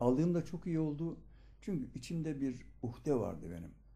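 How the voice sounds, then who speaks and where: The voice has a dark, mellow tone with vocal fry. It moves at a fairly slow pace. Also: man. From Turkey, Aegean (Ödemiş, İzmir); Turkey. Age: 70s. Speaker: local journalist, retired teacher. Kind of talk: documentary interview. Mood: earnest storytelling. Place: home room.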